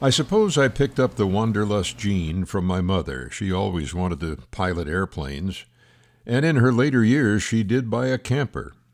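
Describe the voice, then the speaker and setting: Fairly low male voice with very wide pitch swings, at a moderate pace, on a very clean recording with a silent background. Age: 90s. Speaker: retired RV traveler and vlogger. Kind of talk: personal scripted narration.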